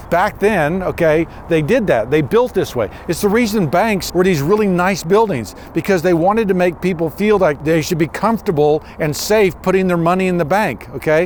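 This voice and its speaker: Against noticeable background noise, a man talks at a moderate pace and high pitch with very even loudness. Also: ordinary pitch variation, hardly any pauses. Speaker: builder and historic restoration craftsman. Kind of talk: walking tour presentation. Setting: on location inside a post office. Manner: conversational, many fillers; speaking quietly.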